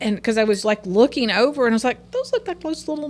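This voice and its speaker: Pitch swings very widely in this voice, with noticeable noise behind it. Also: woman. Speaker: business outreach team member. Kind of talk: casual chat. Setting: studio.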